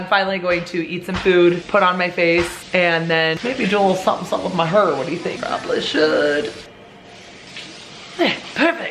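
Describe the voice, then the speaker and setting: Fairly low-pitched speech from a woman at a fairly quick pace, with ordinary pitch variation over noticeable background noise. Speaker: family lifestyle vlogger, mother of eight. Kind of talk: casual talk to camera. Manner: upbeat.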